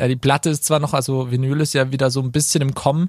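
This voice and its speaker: A man's somewhat breathy, medium-pitched voice at a fairly quick pace, monotone and flat, with a dry, close sound with no echo on a very clean recording with a silent background. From Baden, Karlsruhe area. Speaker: singer-songwriter. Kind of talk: casual interview. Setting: studio.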